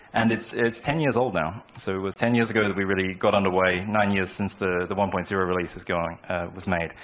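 With an Australian accent, a man speaks at a fairly low pitch and with fairly even intonation. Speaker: software developer; conference speaker. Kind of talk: conference talk. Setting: stage with audience. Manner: halting. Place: hall. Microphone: handheld.

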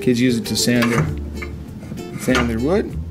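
Clear background music runs throughout. Over it, a man talks. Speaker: teacher. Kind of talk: casual vlog chat. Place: classroom. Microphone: phone near.

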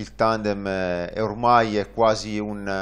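A man is speaking here. His pitch is fairly low. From northern Italy, Varese; northern Italy. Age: 30s. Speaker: tandem cycling pilot; guest. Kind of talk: interview. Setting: studio. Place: studio. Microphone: lapel.

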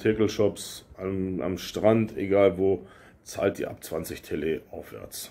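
The man's tone is dark and mellow, his pitch fairly low. He speaks at a very slow pace. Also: big swings in loudness. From Lower Saxony, Germany. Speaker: YouTuber / expat vlogger; YouTuber, expat vlogger. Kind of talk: casual vlog Q&A. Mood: relaxed storytelling, some irritation. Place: home room. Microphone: phone near.

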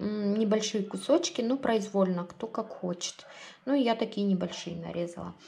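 Light background noise sits under speech that has ordinary pitch variation. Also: woman. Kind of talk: cooking tutorial. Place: kitchen. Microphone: phone near.

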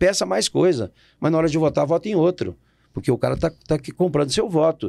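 A man talking very fast with vocal fry, against a quiet background. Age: 60s. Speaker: politician. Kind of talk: interview. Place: studio. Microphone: studio mic.

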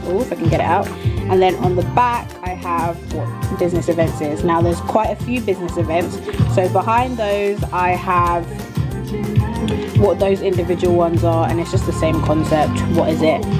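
Loud music plays in the background. Over it, a woman speaks at a moderate pace. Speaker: events management student. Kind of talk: study-tips explanation. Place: home room. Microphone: phone near.

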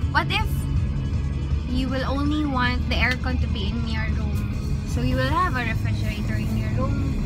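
A woman talks at a moderate pace while loud music plays behind her. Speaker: mother vlogger. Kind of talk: casual vlog talk to camera. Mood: relaxed, chatty. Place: car. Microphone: phone near.

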